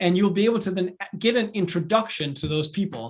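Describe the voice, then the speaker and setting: A man speaks in a Danish accent. His voice is high and his pace fairly quick. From Denmark. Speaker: entrepreneur and professor. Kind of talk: online lecture. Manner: casual, with many fillers.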